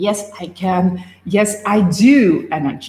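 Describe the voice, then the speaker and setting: A woman's somewhat breathy voice. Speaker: life and business coach. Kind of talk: live stream talk.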